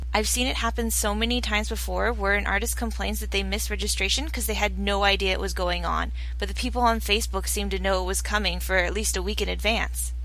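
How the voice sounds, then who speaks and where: Over noticeable background noise and audible room echo, a woman with a very deep, low voice rushes along at a very fast pace, monotone and flat, with hardly any pauses. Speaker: artist giving convention advice. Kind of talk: tutorial.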